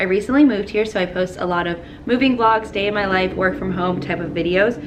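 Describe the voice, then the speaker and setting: Talking at a very fast pace, a woman speaks in a medium pitch with ordinary pitch variation. Noticeable background noise and audible room echo accompany her. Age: 20s. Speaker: lifestyle vlogger. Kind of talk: casual vlog talk to camera. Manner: chatty, upbeat.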